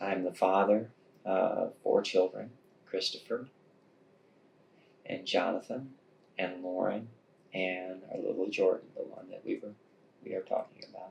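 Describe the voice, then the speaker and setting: A man with an American accent speaks at a fairly slow pace. He leaves long, frequent pauses, and his loudness swings a lot. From northern Indiana. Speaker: bereaved father. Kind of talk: interview testimony. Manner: halting.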